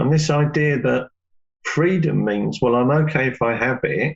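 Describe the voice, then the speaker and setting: An unremarkable speaking voice moves at a moderate pace. Its pitch variation is ordinary. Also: man. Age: 60s. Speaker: yoga teacher. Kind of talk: interview.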